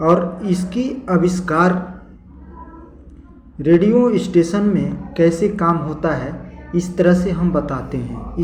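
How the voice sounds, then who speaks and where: With noticeable background noise, a man speaks in a high pitch with ordinary pitch variation and long, frequent pauses. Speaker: YouTube channel host. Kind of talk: casual talk to camera, explainer.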